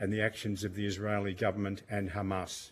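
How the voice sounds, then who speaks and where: Talking at a fairly quick pace, a man with an Australian accent has a fairly low pitch. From Australia, Melbourne. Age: 70s. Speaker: witness at parliamentary inquiry, campaign volunteer. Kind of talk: prepared statement to committee. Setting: parliamentary committee hearing.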